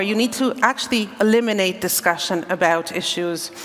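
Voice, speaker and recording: Amid noticeable background noise, a woman with a Hungarian accent talks at a moderate pace with a fairly high pitch and ordinary pitch variation. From Hungary. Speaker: panel chair, civil society advocate. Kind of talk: panel discussion opening remarks.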